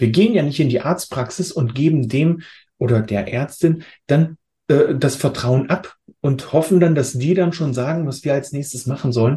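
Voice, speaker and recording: Dark and mellow in tone, a man's somewhat breathy, fairly high voice moves at a moderate pace with ordinary pitch variation. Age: 40s. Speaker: health coach. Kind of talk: interview.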